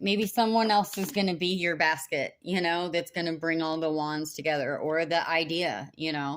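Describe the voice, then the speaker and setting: Hardly pausing, a woman speaks at a moderate pace in a fairly low pitch on a very clean recording with a silent background. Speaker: tarot reader. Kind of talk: tarot reading. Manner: monotone; hesitant, many fillers.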